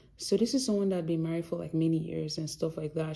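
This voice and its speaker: With a Yoruba accent, a woman speaks in a dark, mellow tone at a fairly low pitch with ordinary pitch variation. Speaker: doctor and vlogger. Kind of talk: casual vlog talk.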